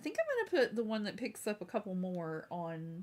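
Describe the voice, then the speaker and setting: An animated woman's voice with an American accent at a moderate pace. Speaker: crafts live streamer. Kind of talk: casual live stream chat. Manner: chatty, animated.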